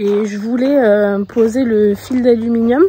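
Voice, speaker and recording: Noticeable background noise surrounds a woman talking at a fairly high pitch. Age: 30s. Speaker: horse owner and rider. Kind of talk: casual vlog talk to camera.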